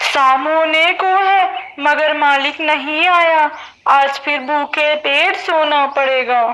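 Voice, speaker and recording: A cartoonish character voice, female-sounding and high-pitched, at a very slow pace. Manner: sorrowful, complaining.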